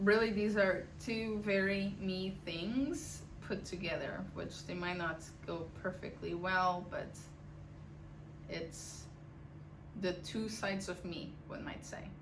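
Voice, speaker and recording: A woman's medium-pitched voice with a non-native accent and fairly even intonation, very slow with long, frequent pauses, amid noticeable background noise and audible room echo. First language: not English. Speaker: knitting podcaster. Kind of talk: casual chat. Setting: home attic.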